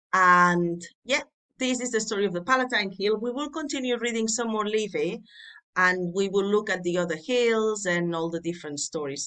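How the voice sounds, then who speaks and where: With a Catalan accent, this bright, sharp voice moves at a moderate pace with lively intonation over a quiet background. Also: woman, medium pitch for a woman. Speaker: Latin tutor. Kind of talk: tutorial. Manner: informal, conversational.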